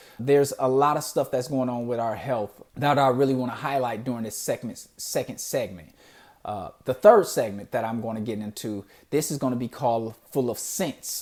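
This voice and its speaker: A man with a Detroit accent talks at a moderate pace and a medium pitch. His pitch varies in an ordinary way, and the recording is very clean with a silent background. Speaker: podcast host. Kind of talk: solo podcast introduction. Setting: in front of a camera. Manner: casual, conversational with fillers.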